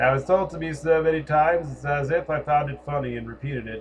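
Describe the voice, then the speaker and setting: Speaking at a moderate pace, a man with an American accent has a fairly high pitch and a somewhat breathy voice. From US Northeast, Connecticut. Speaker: spiritual commentator. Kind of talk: personal monologue.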